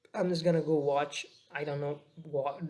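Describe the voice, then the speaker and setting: A man speaks at a moderate pace with a Nepali accent. His fairly high voice stays monotone and flat. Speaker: daily vlogger. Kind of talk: casual vlog monologue. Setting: at home, laptop on lap. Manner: halting, many fillers.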